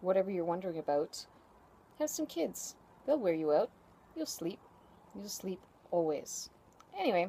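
Pitch swings very widely as the speaker goes along at a moderate pace. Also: woman. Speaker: vlogger. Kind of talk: casual vlog chat. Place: garden. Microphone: phone near.

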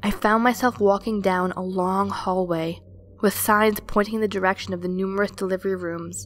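Fairly even intonation in plain reading aloud

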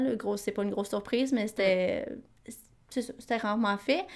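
A woman speaks at a moderate pace and medium pitch in an ordinary speaking voice with fairly even intonation. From Quebec. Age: 20s. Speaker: podcast co-host, nonprofit coordinator. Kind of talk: casual chat.

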